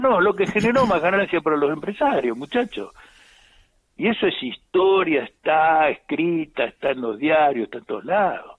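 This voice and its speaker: This man talks at a moderate pace with a fairly high pitch. His pitch swings very widely. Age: 70s. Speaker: politician. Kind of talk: live radio interview.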